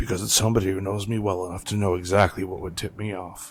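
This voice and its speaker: In a put-on character voice, a man rattles along at a very fast pace, raspy and fairly low in pitch, with monotone, flat intonation. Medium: actual play.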